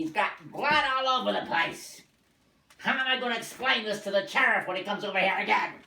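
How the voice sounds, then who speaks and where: A man uses a put-on character voice, raised and projected at a high pitch. His intonation is lively and his pace fairly quick. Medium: short film. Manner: shouting, bullying.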